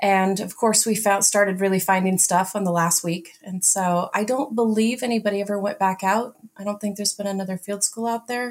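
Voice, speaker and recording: A woman with a plain, everyday voice talks at a fairly quick pace and hardly any pauses. Her pitch is medium and her intonation fairly even. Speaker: NAGPRA office director and archaeologist. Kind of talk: interview conversation.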